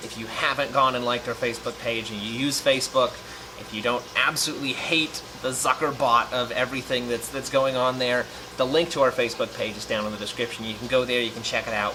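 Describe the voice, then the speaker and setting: A man at a medium pitch talking at a very fast pace, fairly even in intonation, with noticeable background noise. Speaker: aquarium YouTuber. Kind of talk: casual vlog update.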